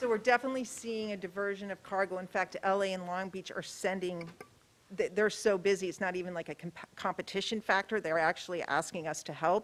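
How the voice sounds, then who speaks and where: Here a woman speaks with an American accent at a medium pitch. She talks at a fairly quick pace with fairly even intonation. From New York. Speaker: port executive. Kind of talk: public presentation and Q&A. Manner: fast.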